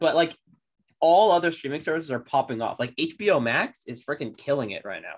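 This man has an unremarkable speaking voice, fairly high in pitch, moving at a fairly quick pace with lively intonation. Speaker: podcast co-host. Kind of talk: casual chat.

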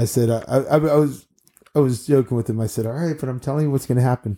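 The voice carries an American accent, a dark, mellow tone, and fairly even intonation. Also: man. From Maryland, Bethesda. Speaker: children's party entertainer. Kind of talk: casual chat.

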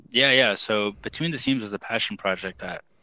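A man talks at a moderate pace with an American accent. His tone is bright and sharp, and the background is quiet. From South Texas. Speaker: fashion writer and podcaster. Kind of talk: interview.

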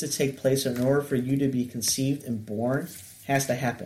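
His voice sits fairly high for a man. This man also sounds somewhat breathy. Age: 30s. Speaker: counselor. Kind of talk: casual chat.

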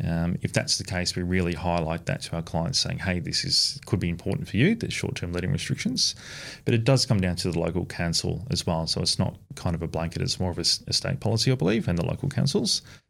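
With an Australian accent and a very deep, low pitch, a man talks at a very fast pace with hardly any pauses and lively intonation, on a very clean recording with a silent background. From country Victoria, Australia. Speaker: strata report business owner. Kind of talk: podcast interview.

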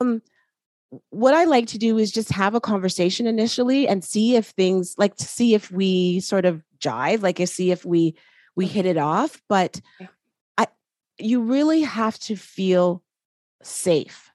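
A woman with a Canadian accent, lively in intonation, with long, frequent pauses. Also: medium pitch for a woman. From Canada. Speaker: holistic practitioner and life coach. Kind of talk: interview. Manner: hesitant, many fillers.

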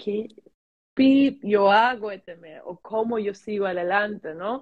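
Very slowly, a woman speaks with a fairly high pitch and ordinary pitch variation. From Germany, teen years in Dominican Republic. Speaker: sales and mindset coach. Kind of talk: casual interview chat.

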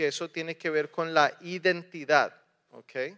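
Very slowly and in a high, bright, sharp tone, a man speaks with a dry, close sound with no echo over a quiet background. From raised partly in the US, partly in Colombia. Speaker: preacher. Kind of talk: sermon.

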